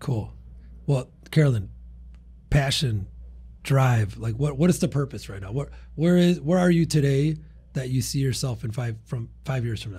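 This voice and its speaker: A man with a dark, mellow, somewhat breathy voice at medium pitch speaks at a moderate pace, with ordinary pitch variation, big swings in loudness, and long, frequent pauses. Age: 30s. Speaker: cleaning business podcast host. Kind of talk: casual interview. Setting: studio.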